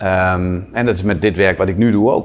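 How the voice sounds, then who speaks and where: A man's very deep, low pitch with fairly even intonation. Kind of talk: interview. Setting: at a table with interviewer.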